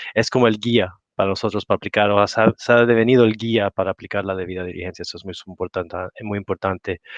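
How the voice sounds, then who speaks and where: A man speaks very fast with a non-native accent, his intonation fairly even and his loudness swinging widely. There are hardly any pauses, and the sound is dry and close with no echo over a quiet background. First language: not Spanish (speaking Spanish). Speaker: industry association representative. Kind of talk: panel discussion. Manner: halting.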